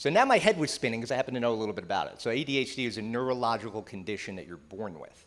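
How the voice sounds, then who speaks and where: A man talks at a very fast pace with a New Jersey accent. The recording is very clean, with a silent background. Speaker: psychotherapist and keynote speaker. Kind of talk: keynote talk. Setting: stage with audience. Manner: conversational.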